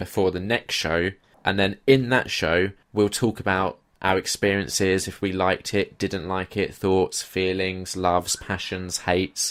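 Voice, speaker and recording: A man speaking at a moderate pace, on a very clean recording with a silent background. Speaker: podcast co-host.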